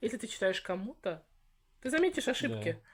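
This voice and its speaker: Somewhat breathy, a woman speaks in an animated tone at a fairly quick pace with very wide pitch swings. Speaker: channel host on Victorian topics, writer. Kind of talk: interview conversation.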